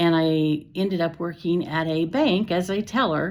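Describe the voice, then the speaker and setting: A woman's fairly low, fairly slow voice with ordinary pitch variation, an unremarkable speaking voice. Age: 60s. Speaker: retired teacher. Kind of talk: personal vlog talk. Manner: casual, with fillers and self-corrections.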